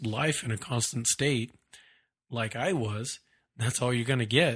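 The recording is very clean, with a silent background. A somewhat breathy man of medium pitch talks at a moderate pace with ordinary pitch variation. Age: 30s. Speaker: podcast host. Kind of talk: solo monologue, motivational talk. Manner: casual, with many repetitions and fillers.

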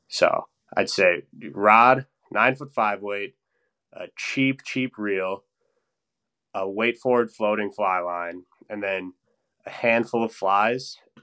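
In an Upper Midwest accent, a man speaks very slowly with long, frequent pauses, a fairly low pitch, ordinary pitch variation and big swings in loudness. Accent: Upper Midwest American. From Wisconsin (Stevens Point, north central). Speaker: engineer and fly-fishing enthusiast. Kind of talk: casual interview chat.

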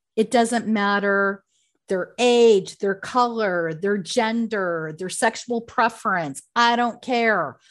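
Here is a normal speaking voice with lively intonation at a fairly slow pace. The background is quiet. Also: woman. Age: 50s. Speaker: career coach and company founder. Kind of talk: interview.

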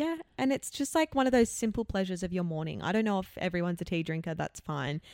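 On a very clean recording with a silent background and a dry, close sound with no echo, a woman with an Australian accent speaks at a very fast pace with lively intonation and a medium pitch. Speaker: podcast co-host. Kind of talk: casual chat. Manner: animated.

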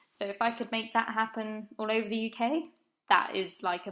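With an English accent, a woman speaks at a moderate pace. Her voice is fairly high, with a bright, sharp tone. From southern England, Brighton. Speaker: running group founder. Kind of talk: interview. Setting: remote call.

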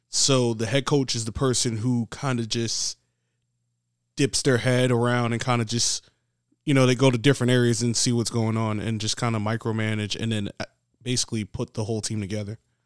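A man with a New York accent talks fairly quickly at a medium pitch in a monotone, flat intonation, the sound dry and close with no echo. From New York City, the Bronx. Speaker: PE teacher and football coach. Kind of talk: casual interview.

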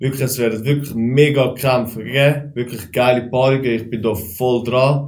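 With fairly even intonation, a man's somewhat breathy voice comes through with audible room echo. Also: medium pitch for a man, moderate pace. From Switzerland, Aargau near Baden. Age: 20s. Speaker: kickboxer and driving instructor. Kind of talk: casual chat.

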